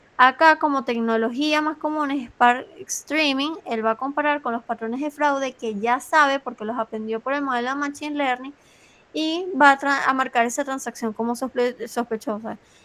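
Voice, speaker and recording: A high-pitched woman at a moderate pace with fairly even intonation. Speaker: tutor reviewing exam material for students. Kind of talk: online review class.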